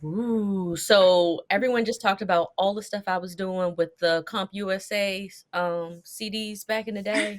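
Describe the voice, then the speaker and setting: At a moderate pace and with hardly any pauses, a woman with a plain, everyday voice speaks at a medium pitch, her intonation fairly even and her loudness swinging widely. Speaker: tech professional. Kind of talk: casual chat.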